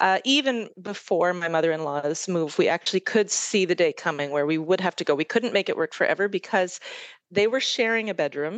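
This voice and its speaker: With a Canadian accent and an ordinary speaking voice, a woman talks at a fairly quick pace at medium pitch with lively intonation, the sound dry and close with no echo. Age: 40s. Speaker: podcast listener. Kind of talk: casual chat.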